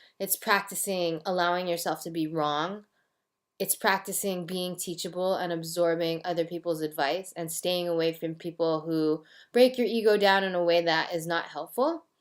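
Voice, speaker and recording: A woman with an American accent has an unremarkable speaking voice, fairly low in pitch, at a moderate pace with fairly even intonation on a very clean recording with a silent background. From United States. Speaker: vlogger, language learner. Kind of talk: casual monologue vlog. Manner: casual, filler-heavy.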